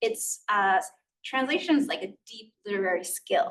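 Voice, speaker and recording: Using ordinary pitch variation, a woman speaks at a medium pitch and moderate pace with a Spanish accent. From US, Queens, New York. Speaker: author. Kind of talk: interview conversation. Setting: stage with audience. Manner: casual, many fillers.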